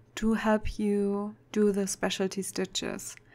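A woman with a German accent, very slow and monotone, her intonation flat. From Germany. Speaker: cross-stitch vlogger. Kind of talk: tutorial; casual vlog chat.

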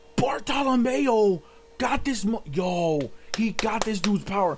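A man's speech is accompanied by faint music in the background. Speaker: reaction streamer. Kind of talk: casual reaction commentary. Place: home room.

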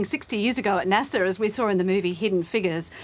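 A woman speaks at a very fast pace. She has an Australian accent. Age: middle-aged. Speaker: career expert; guest. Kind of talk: TV interview. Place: studio.

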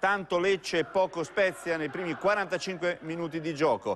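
Here a man speaks in a fairly high pitch. His pace is fairly slow, with fairly even intonation. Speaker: sports reporter. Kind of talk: sports match-report commentary, voiceover summary of highlights. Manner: brisk, fluent play-by-play delivery with steady rhythm; occasionally hesitates with 'eh' fillers and self-corrects.

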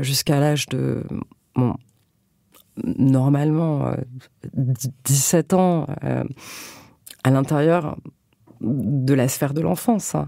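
On a very clean recording with a silent background, someone talks at a very slow pace. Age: 30s. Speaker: novelist. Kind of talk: interview. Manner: halting.

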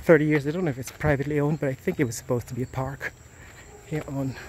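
Here a man talks at a fast pace with fairly even intonation. His pitch is fairly high for a man.

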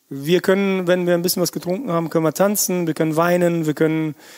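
The voice belongs to a man and sits at a high pitch. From Russia, Siberia, then grew up in Germany. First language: Russian (speaking German). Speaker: chef. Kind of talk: casual interview. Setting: restaurant just before opening. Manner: animated.

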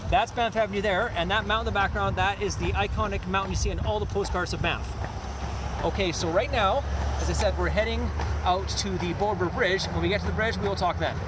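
A man talking at a very fast pace, dry sound with no echo, noticeable background noise. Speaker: tourist vlogger. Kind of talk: casual vlog chat. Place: street. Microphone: phone near.

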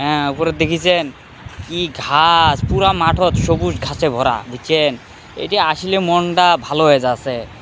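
The man's voice sits at a fairly high pitch and has ordinary pitch variation. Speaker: migrant worker and vlogger. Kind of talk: casual vlog.

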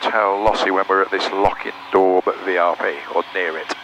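Noticeable background noise sits behind this recording. A man speaks in a fairly low voice. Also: dry sound with no echo. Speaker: private pilot. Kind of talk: pilot radio calls and cockpit chat; radio calls and cockpit talk. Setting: aircraft cockpit over radio. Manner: clipped, brisk radio readbacks; wry, joking asides. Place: plane. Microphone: headset.

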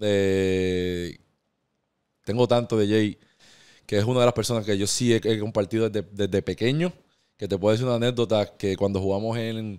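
A man speaks at a moderate pace with a fairly low pitch. His intonation stays fairly even. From Puerto Rico, Caguas area; Puerto Rico. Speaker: professional basketball player; podcast guest. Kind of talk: interview. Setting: barbershop studio. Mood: calm, reflective. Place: studio. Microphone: studio mic.

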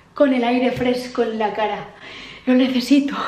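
Speaking at a moderate pace and high pitch, a woman keeps a monotone, flat intonation amid audible room echo and light background noise. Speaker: vlogger. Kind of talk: casual vlog chat. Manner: tipsy, loose, dreamy slurred talk. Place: home room. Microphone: phone near.

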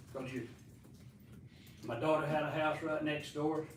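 Audible room echo surrounds a man speaking with a Southern US accent. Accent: Southern US (Georgia). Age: 80s+. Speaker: resident giving public comment. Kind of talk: public comment at council meeting. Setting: city council meeting. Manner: halting.

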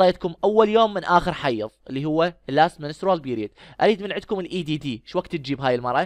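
Against a quiet background with a dry, close sound and no echo, a man with a high voice races along at a very fast pace with lively intonation and hardly any pauses. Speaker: medical lecturer. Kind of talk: lecture.

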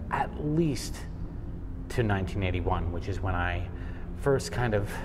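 A man at a fairly slow pace amid noticeable background noise. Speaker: travel vlogger. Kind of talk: casual vlog chat. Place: tunnel cave. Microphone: phone near.

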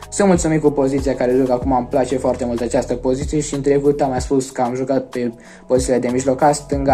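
A man talks at a fairly quick pace with fairly even intonation, faint music playing in the background. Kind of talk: interview answer. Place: home room. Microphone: phone near.

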